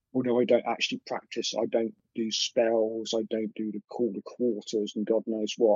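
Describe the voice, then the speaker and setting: A man speaks with an English accent. His delivery is flat and monotone, with hardly any pauses. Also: medium pitch for a man, moderate pace. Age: 50s. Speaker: artist and witness of paranormal encounters. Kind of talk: interview recounting personal encounters. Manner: halting.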